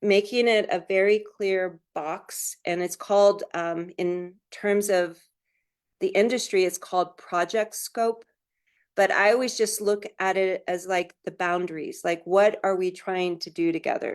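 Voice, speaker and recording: Here a woman has an unremarkable speaking voice at medium pitch. She talks at a fairly slow pace with fairly even intonation against a quiet background. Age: 60s. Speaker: Native business owner, store owner. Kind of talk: panel discussion answer. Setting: webinar.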